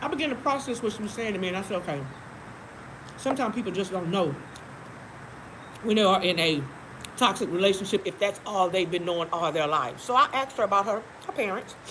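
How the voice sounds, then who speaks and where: Over noticeable background noise, a woman with a medium pitch talks at a very fast pace in an animated tone with lively intonation, broken by long, frequent pauses. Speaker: live-stream host. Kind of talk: casual chat. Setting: live stream.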